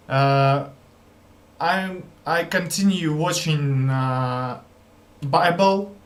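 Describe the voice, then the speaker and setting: The speaker has a non-native accent and ordinary pitch variation. Audible room echo surrounds the voice. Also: man. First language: not English. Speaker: language learner vlogger. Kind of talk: casual vlog commentary. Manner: halting.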